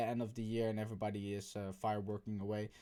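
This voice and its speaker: A man's dark, mellow tone with a Dutch accent, moderate pace, on a very clean recording with a silent background. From Netherlands. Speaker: YouTuber. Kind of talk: casual vlog commentary. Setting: bedroom.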